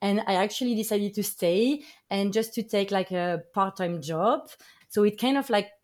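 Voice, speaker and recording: With a French accent, a woman speaks at a moderate pace in a medium pitch. Her pitch varies in an ordinary way. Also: very clean recording, silent background. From France. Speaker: artist and former basketball player. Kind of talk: interview.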